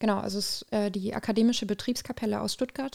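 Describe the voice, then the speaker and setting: A woman speaks at medium pitch and a fairly quick pace, her tone dark and mellow and her intonation fairly even, on a very clean recording with a silent background. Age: 20s. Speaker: student activist. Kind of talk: interview.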